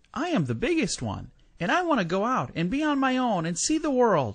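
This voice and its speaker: A man puts on a character voice at an extremely high pitch. He talks at a fairly quick pace over a quiet background. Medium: read story. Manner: bright, cheeky.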